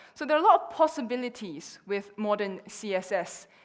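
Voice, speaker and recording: This woman has a medium-pitched voice and speaks with a Chinese accent. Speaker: conference speaker. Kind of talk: conference talk.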